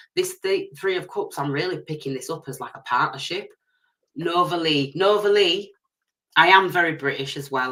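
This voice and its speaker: The speaker talks at a fairly quick pace. There is a strong Leeds accent. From northern England, Leeds. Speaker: tarot reader. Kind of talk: live stream tarot reading. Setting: live stream. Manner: fast; loud at times.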